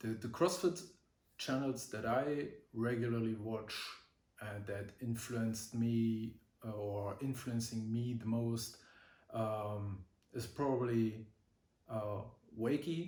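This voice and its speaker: Slowly and with long, frequent pauses, a man with a German accent speaks at a medium pitch and ordinary pitch variation, his voice carrying audible room echo. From Germany. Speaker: vlogger. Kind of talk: casual vlog talk. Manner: halting, many fillers.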